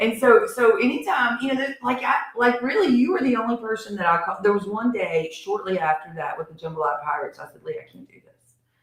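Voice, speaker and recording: Delivered at a very fast pace with hardly any pauses, the speech has an animated tone, very wide pitch swings and big swings in loudness. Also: woman, fairly high pitch for a woman. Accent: Appalachian. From US South, Harrisburg area, North Carolina. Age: middle-aged. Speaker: community relief organizer and show host. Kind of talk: casual chat. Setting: studio.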